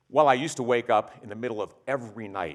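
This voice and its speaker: A man with a Midwestern American accent speaks with ordinary pitch variation. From US Midwest, Ohio (Springfield). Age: 60s. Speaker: company executive giving a talk. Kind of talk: keynote talk.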